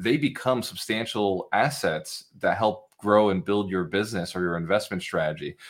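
A man with a fairly low pitch, ordinary pitch variation and a moderate pace. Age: 30s. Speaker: entrepreneur. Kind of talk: interview. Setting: video call.

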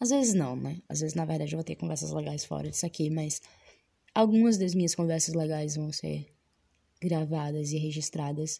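Against a quiet background, a woman with a Bahian accent speaks at a moderate pace, her very deep, low voice dark, mellow and somewhat breathy, with ordinary pitch variation. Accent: Bahian Brazilian Portuguese. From Salvador, Bahia, Brazil. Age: 20s. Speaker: podcast host. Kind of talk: casual monologue. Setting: recording inside a wardrobe.

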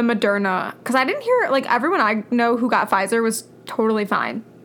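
A woman with a fairly high voice talks at a moderate speed and ordinary pitch variation, noticeable background noise behind her. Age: 20s. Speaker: podcast co-host. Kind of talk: casual chat.

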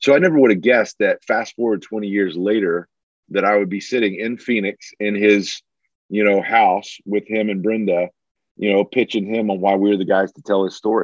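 With an American accent, a man talks at a moderate pace in a normal speaking voice, fairly low-pitched with fairly even intonation. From Alabama, US South. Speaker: filmmaker. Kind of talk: interview.

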